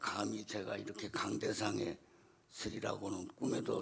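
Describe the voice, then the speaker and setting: Over clearly audible background noise, a man delivers his words rather slowly. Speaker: church deacon. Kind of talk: testimony. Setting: church.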